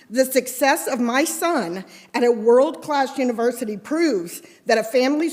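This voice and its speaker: Loud and lively in intonation, a woman speaks at a moderate pace in a high pitch with an American accent. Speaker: resident speaking at public comment. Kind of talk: public comment at council meeting, reading prepared remarks. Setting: city council chamber, at podium. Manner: very loud.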